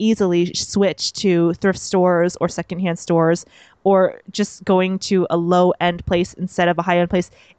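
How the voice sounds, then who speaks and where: At a moderate pace, a woman speaks in a normal speaking voice of medium pitch. The sound is dry and close with no echo, over a quiet background. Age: 30s. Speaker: comedian and podcast host. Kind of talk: casual interview chat.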